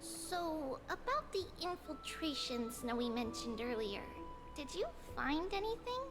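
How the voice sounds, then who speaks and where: A female-sounding voice performs a put-on character voice. Loud music plays in the background. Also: moderate pace. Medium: game stream. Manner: sweet, earnest, refers to self as "we".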